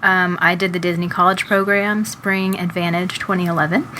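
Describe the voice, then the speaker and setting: A woman with an American accent talks at medium pitch and a moderate pace. Her intonation is monotone and flat, with noticeable background noise. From Texas. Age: 20s. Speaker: podcast co-host. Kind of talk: casual chat.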